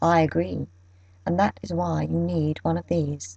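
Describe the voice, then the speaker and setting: In a put-on character voice, a woman speaks at a moderate pace with a very deep, low pitch. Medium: read story. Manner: knowing, persuasive.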